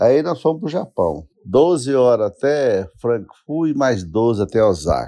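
A man with a dark, mellow tone speaks fairly slowly at a medium pitch, his voice swinging very widely up and down. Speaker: bank employee, host's father. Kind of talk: voice message storytelling.

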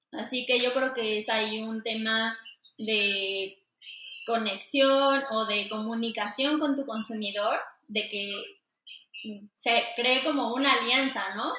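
A woman's fairly high pitch and fairly even intonation, a very slow pace with long, frequent pauses, and audible room echo. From Mexico City. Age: 20s. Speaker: fashion designer. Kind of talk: interview.

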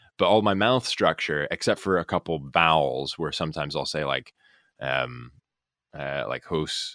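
A man with an American accent speaks at a moderate pace in a very deep, low pitch, with lively intonation, vocal fry and a bright, sharp tone. The recording is very clean with a silent background and a dry, close sound with no echo. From Alaska, US. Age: 30s. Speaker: actor. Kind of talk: casual chat.

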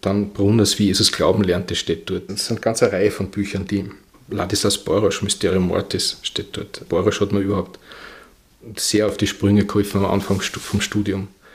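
Somewhat breathy and fairly low-pitched, a man speaks at a moderate pace in a monotone, flat intonation. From Vienna, Austria. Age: 60s. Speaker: bookseller. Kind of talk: interview. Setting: bookshop.

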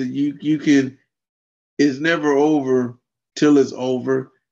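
The speaker is a man. His pitch is fairly high. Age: 50s. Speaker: adaptive fitness and martial arts coach. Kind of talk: interview.

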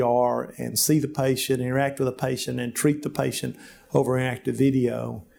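Speaking fairly quickly, a man has a Southern US accent and a medium pitch. His tone is dark and mellow. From US South, rural Alabama. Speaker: physician. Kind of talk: interview. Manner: halting, with many fillers.

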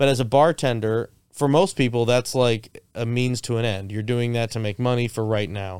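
Here is a man with an American accent and an ordinary speaking voice, medium in pitch with ordinary pitch variation. He keeps a moderate pace with hardly any pauses. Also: very clean recording, silent background. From South Florida. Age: 30s. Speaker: karaoke DJ and filmmaker. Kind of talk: casual chat. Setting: studio.

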